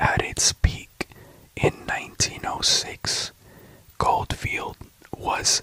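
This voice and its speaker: Someone whispers very slowly in a calm tone over noticeable background noise. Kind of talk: sleep story, whispered history facts narration. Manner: whispered, calm, slow.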